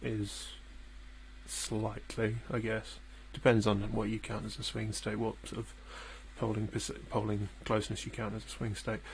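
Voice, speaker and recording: Heard with audible room echo, a man with a British accent speaks at a fairly slow pace, leaving long, frequent pauses. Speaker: political livestreamer. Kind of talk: live election commentary. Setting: home livestream, housemates asleep. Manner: hesitant, many fillers; soft-spoken, speaking quietly. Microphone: too quiet, gain adjusted, clipping.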